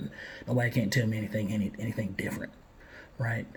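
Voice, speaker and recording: This is a man with an American accent. His voice has a medium pitch. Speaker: father vlogger. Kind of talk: monologue to camera, reflective talk. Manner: hesitant, many fillers and restarts.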